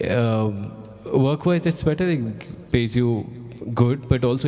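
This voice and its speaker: Music plays in the background as a speaker with an Indian accent talks with ordinary pitch variation. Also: man. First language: Hindi. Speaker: journalist. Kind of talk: panel discussion.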